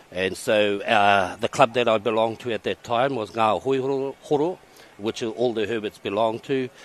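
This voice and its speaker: A man with a New Zealand accent speaks at a medium pitch. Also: ordinary pitch variation, moderate pace. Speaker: race commentator. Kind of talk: casual interview.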